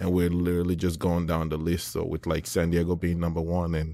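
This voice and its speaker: The voice moves at a fairly quick pace in a monotone, flat intonation on a very clean recording with a silent background. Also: man. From Nigeria. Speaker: startup CEO. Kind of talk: interview.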